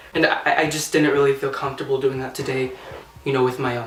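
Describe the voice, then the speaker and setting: A man's fairly even intonation amid noticeable background noise and audible room echo. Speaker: singer and YouTuber. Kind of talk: casual vlog. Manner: halting, stuttering.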